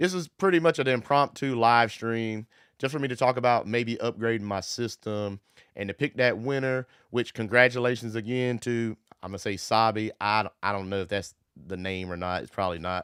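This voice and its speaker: A man with a normal speaking voice and medium pitch talks at a moderate pace with ordinary pitch variation, in a dry, close sound with no echo on a very clean recording with a silent background. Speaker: solar power YouTuber. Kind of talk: live stream chat. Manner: casual.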